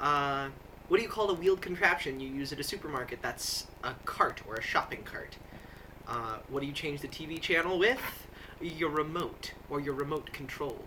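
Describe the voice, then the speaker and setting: Against noticeable background noise, a man with an American accent talks at a fairly high pitch. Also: ordinary pitch variation, moderate pace, big swings in loudness. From US Midwest (Nebraska, Iowa). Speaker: video blogger. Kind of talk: casual monologue answering a word-list questionnaire. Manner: many fillers (uh, um), casual.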